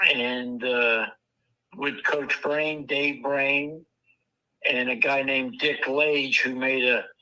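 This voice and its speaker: At a very slow pace, a man with a fairly high pitch speaks, leaving long, frequent pauses. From Washington DC area. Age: 70s. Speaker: retired college football coach. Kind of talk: interview. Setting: live stream. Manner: halting.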